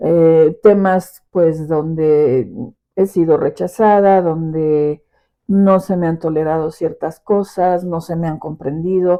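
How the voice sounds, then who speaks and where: A woman speaks at a very slow pace. Her fairly low voice shows ordinary pitch variation. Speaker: podcast host and teacher. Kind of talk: personal reflection podcast. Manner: expressive; forceful.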